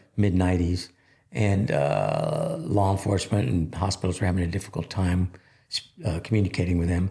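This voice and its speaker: At a fairly quick pace, a man speaks in a very deep, low pitch with a dark, mellow tone, vocal fry, ordinary pitch variation and very even loudness. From Texas (Laredo). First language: Spanish. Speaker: military veteran, nonprofit founder. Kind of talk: podcast interview. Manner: halting, many fillers.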